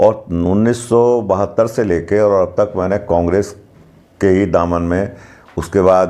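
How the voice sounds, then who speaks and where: A man with fairly even intonation, over noticeable background noise. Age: 60s. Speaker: local party politician. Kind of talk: interview.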